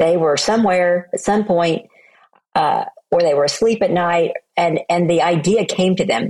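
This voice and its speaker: A woman speaks in an unremarkable speaking voice. Her pitch is medium, with ordinary variation. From US South, Oklahoma. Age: 60s. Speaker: motivational speaker and author. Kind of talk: interview.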